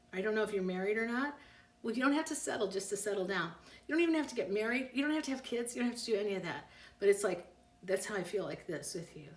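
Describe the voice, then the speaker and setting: Audible room echo surrounds a woman whose fairly high voice carries lively intonation. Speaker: psychic. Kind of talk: live stream reading answering viewer questions. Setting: Instagram live stream. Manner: fast; animated.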